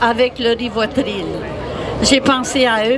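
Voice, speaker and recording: A woman's very slow, monotone, flat delivery over crowd noise in the background. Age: 80s+. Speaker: protester. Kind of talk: speech to a crowd.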